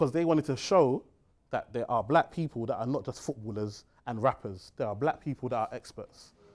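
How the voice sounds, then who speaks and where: A man talks fairly quickly against a quiet background, his pitch shifting in an ordinary way. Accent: London. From East London, England (Tower Hamlets); London. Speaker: financial advisor and seminar speaker; speaker. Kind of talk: seminar talk. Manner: animated. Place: meeting room.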